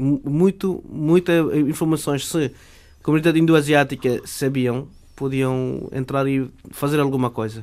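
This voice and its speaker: Fairly high male voice, fairly even intonation and fairly slow pace, in a very clean recording with a silent background. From Bangladesh (Chittagong). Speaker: immigrant, former journalism student. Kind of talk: radio interview. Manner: halting.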